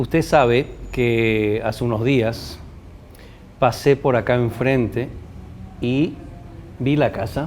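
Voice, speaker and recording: A man at medium pitch, with long, frequent pauses over noticeable background noise. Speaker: TV presenter. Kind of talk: interview.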